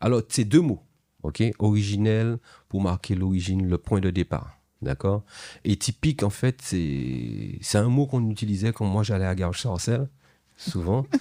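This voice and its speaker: A man with a fairly low pitch and a dark, mellow tone speaks at a fairly slow pace with lively intonation. The recording is very clean with a silent background, and the sound is dry and close with no echo. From Martinique, rural north. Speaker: reggae artist. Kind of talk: interview. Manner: halting.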